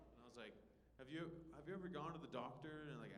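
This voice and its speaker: Speaking very fast, a man has an American accent. Audible room echo surrounds the voice. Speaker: stand-up comedian and show host. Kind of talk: stand-up. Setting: comedy club stage with audience. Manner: stumbling over words, repeats.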